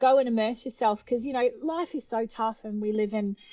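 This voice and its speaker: A woman with an Australian accent, fairly high-pitched with a dark, mellow tone, ordinary pitch variation and a moderate pace. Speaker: opera singer. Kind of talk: interview.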